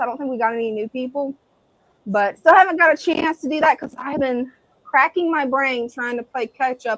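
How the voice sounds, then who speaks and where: The sound is dry and close with no echo as a woman with an American accent talks at a fairly quick pace in a high voice. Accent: Southern US accent, usually toned down. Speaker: live stream co-host, hobbyist. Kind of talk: casual live stream chat.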